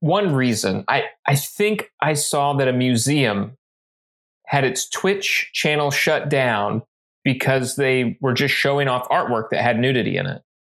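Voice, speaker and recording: At a fairly slow pace, a man with a medium pitch and a normal speaking voice speaks with lively intonation. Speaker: book club podcast co-host. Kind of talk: casual chat.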